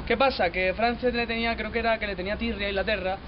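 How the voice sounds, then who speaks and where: A man with a high pitch talks at a very fast pace with ordinary pitch variation. Noticeable background noise is present. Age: young. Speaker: interviewee. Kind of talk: street interview. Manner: casual, animated.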